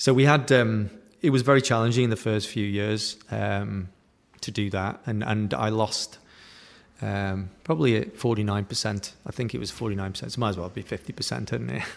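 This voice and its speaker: Speaking with a British accent, a man talks fairly slowly at a fairly low pitch with ordinary pitch variation. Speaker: digital entrepreneur. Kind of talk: interview.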